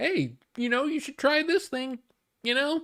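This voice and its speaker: A woman uses a put-on character voice pitched high. She talks at a fairly slow pace. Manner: silly, put-on voice.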